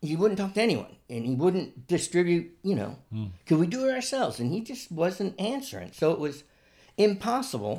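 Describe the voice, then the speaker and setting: A man with an American accent speaks at a moderate pace in a high voice with very wide pitch swings, on a very clean recording with a silent background. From central New York (Utica). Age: 50s. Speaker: musician. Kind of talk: casual chat.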